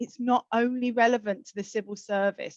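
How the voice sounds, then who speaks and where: A woman with a South London accent talks at a fairly quick pace and a fairly high pitch, her intonation fairly even, in a dry, close recording with no echo. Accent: South London twang. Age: 50s. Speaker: social mobility campaigner, keynote speaker. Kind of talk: keynote address.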